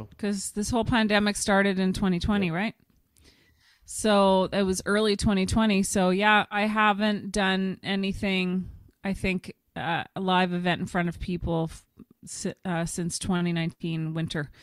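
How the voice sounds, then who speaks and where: With a Canadian accent, a woman at medium pitch speaks at a moderate pace in a monotone, flat intonation. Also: very clean recording, silent background. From Ottawa, Canada. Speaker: stand-up comedian and keynote speaker. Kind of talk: podcast interview answer.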